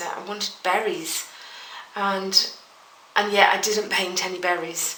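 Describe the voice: A woman speaks at a slow pace in a bright, sharp tone, with audible echo from the room.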